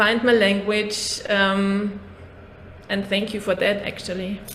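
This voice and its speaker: There is audible room echo and noticeable background noise as a woman speaks at a fairly slow pace. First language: not English. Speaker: podcast host, therapist. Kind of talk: casual interview conversation. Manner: halting.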